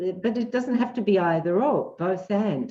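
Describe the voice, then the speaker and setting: Dark and mellow, a woman's medium-pitched voice carries an Australian accent with ordinary pitch variation. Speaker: psychologist. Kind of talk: interview. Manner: animated.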